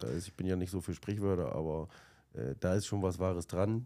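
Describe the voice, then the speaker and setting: On a very clean recording with a silent background, a man talks with a very deep, low pitch, ordinary pitch variation and a dark, mellow tone. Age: 40s. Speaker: managing director of a fish import company. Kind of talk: casual interview.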